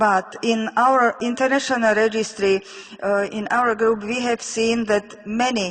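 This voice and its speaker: Fairly high in pitch, a woman with a Slovak accent speaks at a fairly slow pace in a monotone, flat intonation. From Slovakia. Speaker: physician researcher. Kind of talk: lecture. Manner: halting.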